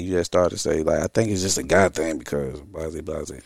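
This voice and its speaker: On a very clean recording with a silent background and a dry, close sound without echo, a man speaks fairly quickly in a very deep, low pitch with ordinary pitch variation. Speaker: podcast host. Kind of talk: casual chat.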